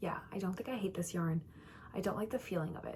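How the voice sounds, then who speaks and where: Against noticeable background noise, a woman with an American accent speaks at a fairly low pitch with fairly even intonation. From Minnesota, St Paul. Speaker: knitting vlogger. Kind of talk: casual chat. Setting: at home. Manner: quiet.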